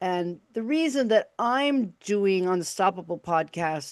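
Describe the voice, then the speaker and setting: The speaker has a Chicago accent and lively intonation. The pace is very slow, with a quiet background. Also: woman. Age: 60s. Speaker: podcast host and radio broadcaster. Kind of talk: casual interview chat. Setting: live video stream.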